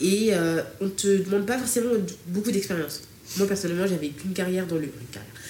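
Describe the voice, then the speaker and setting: A woman's medium-pitched voice at a very fast pace, ordinary pitch variation, noticeable background noise and audible room echo. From France, Strasbourg area suburbs. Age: 20s. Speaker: digital transformation consultant. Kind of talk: casual chat.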